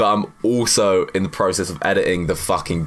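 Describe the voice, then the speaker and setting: A man's animated tone against noticeable background noise. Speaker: fitness youtuber; university student. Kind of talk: casual Q&A monologue. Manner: fast.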